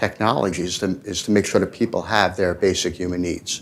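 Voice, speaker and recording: A man with a New York accent, fairly even intonation and a moderate pace. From New York City, Manhattan. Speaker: tech entrepreneur panelist. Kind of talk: panel discussion.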